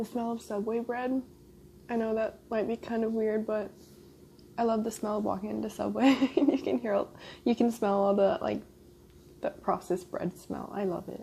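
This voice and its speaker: Soft-spoken, a woman talks at a moderate pace with a fairly high pitch and ordinary pitch variation. She leaves long, frequent pauses. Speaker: ASMR mukbang YouTuber. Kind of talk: casual talk to camera while eating.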